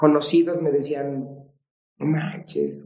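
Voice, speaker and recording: This is a man's voice. Its tone is dark and mellow. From Mexico. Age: 40s. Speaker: martial arts coach. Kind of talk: casual interview chat.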